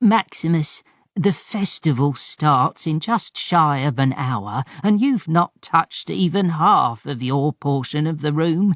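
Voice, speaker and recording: In a raspy put-on character voice, the speaker goes at a fairly slow pace with lively intonation, on a very clean recording with a silent background. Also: man, fairly high pitch for a man. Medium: read story. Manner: brusque, teasing, motherly.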